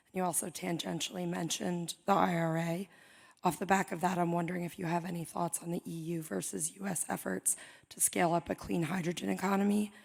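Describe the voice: A woman puts on a raspy character voice with a fairly low pitch. She talks at a fairly quick pace with fairly even intonation.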